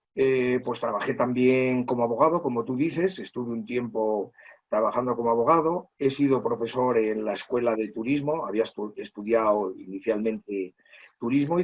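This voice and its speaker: Here a man speaks at a moderate pace and a medium pitch. His pitch variation is ordinary. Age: 60s. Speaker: teacher. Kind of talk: interview testimony. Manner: halting, many fillers.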